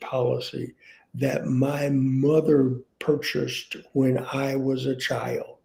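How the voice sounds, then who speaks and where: With an American accent, a man speaks very slowly in a fairly high pitch, his tone dark and mellow and somewhat breathy. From US South. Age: 60s. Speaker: author and panel guest. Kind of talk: panel conversation. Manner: halting, frequent repetitions.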